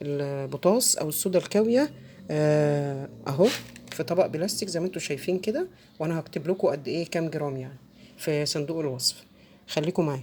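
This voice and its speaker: Very deep, low pitch from a woman, with ordinary pitch variation. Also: moderate pace. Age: middle-aged. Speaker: soap-making tutorial creator. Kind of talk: tutorial. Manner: halting, many fillers.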